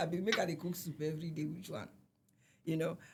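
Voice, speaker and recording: A woman with a Nigerian accent speaks at a very fast pace. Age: 40s. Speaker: singer. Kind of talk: interview answer.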